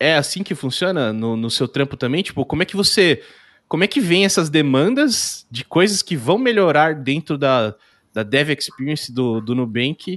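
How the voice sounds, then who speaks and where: A plain, everyday voice: a man, fairly high-pitched, at a moderate pace with lively intonation, dry and close with no echo against a quiet background. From São Paulo state, Brazil. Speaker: podcast host. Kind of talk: casual chat.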